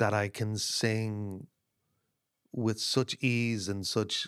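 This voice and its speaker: In an Irish accent, a man speaks very slowly at a fairly low pitch. The recording is very clean, with a silent background and a dry, close sound with no echo. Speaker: singer-songwriter. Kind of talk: casual chat. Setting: in a cottage by a stove. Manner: halting.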